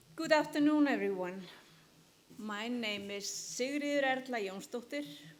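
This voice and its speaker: A woman speaks with very wide pitch swings. There is audible room echo and noticeable background noise. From Iceland. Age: 60s. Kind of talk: conference talk.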